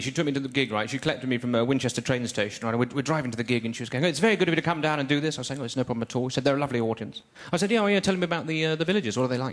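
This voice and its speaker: With an English accent and a fairly high pitch, a man talks at a very fast pace with hardly any pauses and lively intonation over noticeable background noise. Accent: posh English accent, speaks properly. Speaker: stand-up comedian. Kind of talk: stand-up. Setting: stage with audience. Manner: clear enunciation; hesitant fillers, um and uh.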